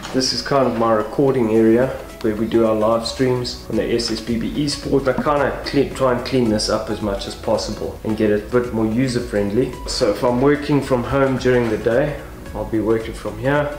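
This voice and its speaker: A man talks at a fairly quick pace with fairly even intonation, faint music playing behind him and audible echo in the room. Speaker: vlogger. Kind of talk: casual vlog chat. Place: garage. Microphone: phone near.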